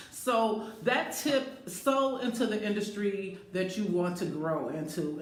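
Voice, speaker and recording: A woman talks at a medium pitch. Her voice comes with audible room echo and noticeable background noise. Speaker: life coach and speaker. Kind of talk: live stream monologue. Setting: Facebook live video in a bathroom.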